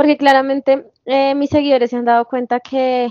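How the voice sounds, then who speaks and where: Recorded dry and close with no echo, a woman speaks in a high voice. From Colombia. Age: 20s. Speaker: TikTok creator. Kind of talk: interview.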